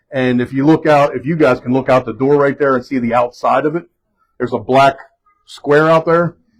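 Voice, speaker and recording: A man talks at a fairly high pitch and a fairly quick pace. His intonation stays fairly even. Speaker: fire chief. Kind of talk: guided tour. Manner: loud.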